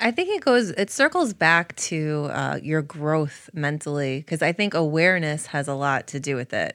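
A woman with an American accent and a very deep, low pitch, at a moderate pace with hardly any pauses and ordinary pitch variation, on a very clean recording with a silent background. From Connecticut, US. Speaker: yoga teacher and barbershop owner. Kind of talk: interview.

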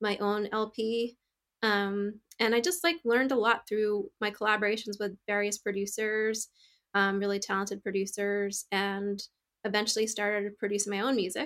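A woman with an American accent has an unremarkable speaking voice at medium pitch, talking at a moderate pace with fairly even intonation in a very clean recording with a silent background. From upstate New York. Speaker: composer and producer. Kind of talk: interview.

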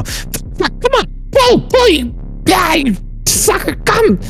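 A loud put-on character voice at an extremely high pitch, very slow pace, clear music in the background. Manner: grunting, groaning, cursing loudly.

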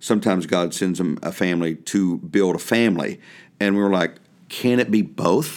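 On a very clean recording with a silent background, a man with an unremarkable speaking voice talks at a fairly low pitch with ordinary pitch variation. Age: 50s. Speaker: pastor. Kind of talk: interview conversation.

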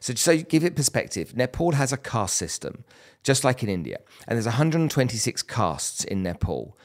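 Using a normal speaking voice, a man talks at a moderate pace and medium pitch with lively intonation. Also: very clean recording, silent background. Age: 50s. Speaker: entrepreneur and philanthropist. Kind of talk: interview conversation. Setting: studio in person.

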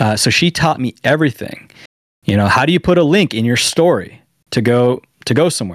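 A man with an American accent speaks at medium pitch and a fairly quick pace, using lively intonation. The sound is dry and close with no echo, and it is an unremarkable speaking voice. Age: 30s. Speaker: paintball content creator. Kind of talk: casual chat. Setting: video call.

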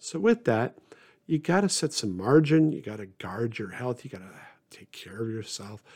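A man talks at a moderate pace and medium pitch in an unremarkable speaking voice, with lively intonation and big swings in loudness. The recording is very clean, the background silent. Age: 50s. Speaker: pastor. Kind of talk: solo podcast talk. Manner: many filler words.

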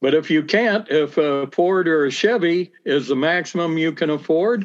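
A man speaks with a Midwestern American accent. His pitch is high and varies in an ordinary way. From US Midwest, central Illinois (Bloomington-Normal). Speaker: town council candidate, businessman. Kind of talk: interview.

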